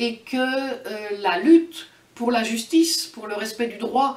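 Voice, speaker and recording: A woman's fairly high voice, very slow pace and lively intonation, over noticeable background noise. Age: 60s. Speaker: activist. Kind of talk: interview. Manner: halting, frequent hesitations.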